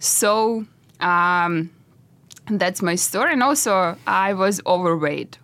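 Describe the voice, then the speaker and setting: With a Russian accent, a woman speaks at a very slow pace in a bright, sharp tone, her medium pitch showing ordinary variation and her loudness very even. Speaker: entrepreneur. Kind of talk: interview. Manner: halting.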